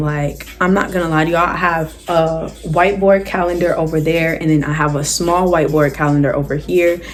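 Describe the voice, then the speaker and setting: There is noticeable background noise and audible room echo around a woman whose pitch is fairly low. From South Jersey, US. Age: 18. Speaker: YouTuber, college student. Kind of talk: casual Q&A vlog. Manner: animated.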